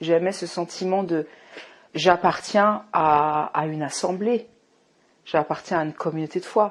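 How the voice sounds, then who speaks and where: A woman speaks at a very slow pace in a fairly low pitch, with ordinary pitch variation. The recording is very clean, with a silent background. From Morocco. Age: 40s. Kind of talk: testimony. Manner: halting, many fillers.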